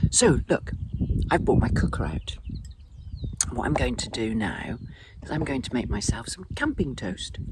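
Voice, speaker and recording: Someone speaks quietly with an English accent. The pace is moderate. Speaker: vlogger. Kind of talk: casual chat. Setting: outdoors at a campsite. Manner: speaking quietly.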